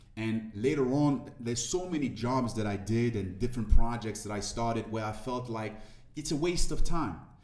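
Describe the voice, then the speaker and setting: Audible room echo surrounds a man speaking at a medium pitch and moderate pace with ordinary pitch variation. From Ivory Coast. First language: French. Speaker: motivational speaker. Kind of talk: interview conversation.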